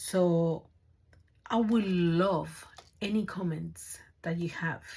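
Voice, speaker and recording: At a very slow pace, a woman speaks in a somewhat breathy voice with a fairly low pitch. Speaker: craft YouTuber. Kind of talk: tutorial. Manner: halting.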